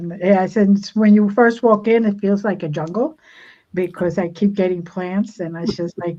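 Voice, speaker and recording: A woman with a dark, mellow tone speaks at a moderate pace and medium pitch, her intonation fairly even. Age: 60s. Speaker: spiritual healer. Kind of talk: casual chat. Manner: halting, with many repeated words.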